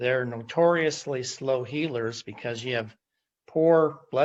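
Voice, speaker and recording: Using a plain, everyday voice, a man speaks at a medium pitch and fairly slow pace with ordinary pitch variation. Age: 60s. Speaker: customer testimonial guest. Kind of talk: testimony. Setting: video call.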